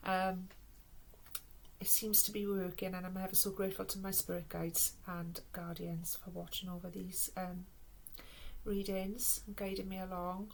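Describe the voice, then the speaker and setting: A woman's somewhat breathy, monotone voice with a Welsh accent, at a moderate pace with long, frequent pauses and audible room echo. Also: medium pitch for a woman. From Wales. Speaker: tarot and oracle card reader. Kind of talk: spiritual card reading.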